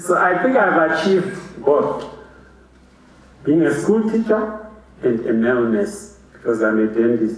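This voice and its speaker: A man with a high voice speaks at a fairly slow pace, his pitch swinging very widely between long, frequent pauses. Noticeable background noise and audible room echo surround him. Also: very even loudness. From Zimbabwe. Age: 50s. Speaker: dentist. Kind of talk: graduation speech.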